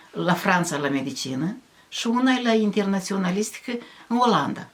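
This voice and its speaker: A woman at a medium pitch speaks at a moderate pace with very wide pitch swings, against noticeable background noise. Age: 70s. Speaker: village folk poet. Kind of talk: casual chat. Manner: animated.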